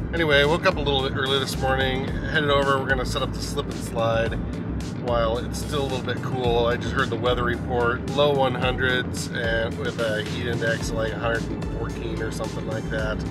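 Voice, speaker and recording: A man talks at a moderate pace in a dry sound with no echo. Loud music plays in the background. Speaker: vlogger. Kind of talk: casual vlog chat. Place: car. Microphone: phone near.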